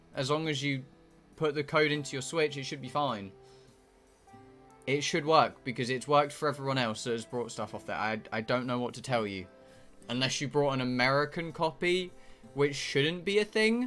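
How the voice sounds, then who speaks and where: A man's voice with ordinary pitch variation and long, frequent pauses, music playing in the background. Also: fairly high pitch for a man, moderate pace. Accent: British. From British. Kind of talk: casual.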